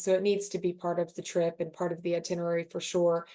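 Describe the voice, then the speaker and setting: A woman speaks at a fairly quick pace with a Southern US accent, her dark, mellow tone sitting at a medium pitch against a quiet background. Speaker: luxury hotel sales representative. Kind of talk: webinar presentation. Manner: animated.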